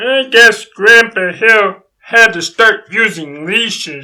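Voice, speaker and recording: A put-on character voice pitched fairly high. It goes at a very slow pace. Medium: audio drama. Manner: eager, questioning.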